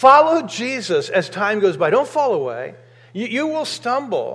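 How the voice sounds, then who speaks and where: This man has an American accent and an extremely high-pitched voice. He speaks at a moderate pace. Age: 50s. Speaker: pastor. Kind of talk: sermon. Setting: church.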